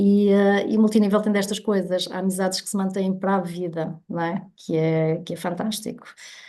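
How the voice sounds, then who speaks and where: At a moderate pace and with hardly any pauses, a woman speaks at medium pitch in a monotone, flat intonation with a dark, mellow tone. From northern Portugal, Viana do Castelo. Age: 50s. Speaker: guest sharing health story. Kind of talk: testimony.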